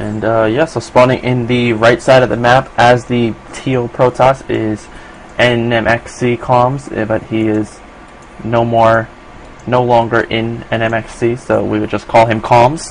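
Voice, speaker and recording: A man with an American accent talks at a fairly slow pace and a medium pitch. His intonation is monotone and flat, with noticeable background noise behind him. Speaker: esports caster. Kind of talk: live commentary. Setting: live stream. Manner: hesitant, many fillers.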